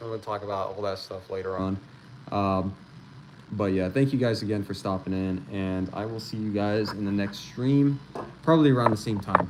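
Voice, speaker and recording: Noticeable background noise surrounds a man with a fairly low pitch. He talks at a moderate pace with ordinary pitch variation. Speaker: gun channel streamer. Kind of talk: casual livestream chat. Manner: quiet.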